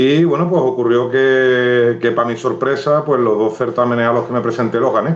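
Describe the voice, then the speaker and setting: Noticeable background noise and audible room echo around a medium-pitched man at a moderate pace with fairly even intonation. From Andalusia, San Fernando (Cádiz). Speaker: writer. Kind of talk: live interview. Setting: Instagram live video stream.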